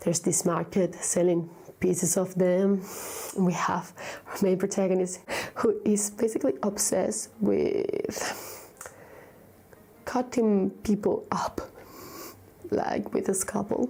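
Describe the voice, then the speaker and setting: A woman with a Spanish accent speaks at a very slow pace, leaving long, frequent pauses. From Vigo, Spain. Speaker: book reviewer. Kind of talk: casual talk to camera.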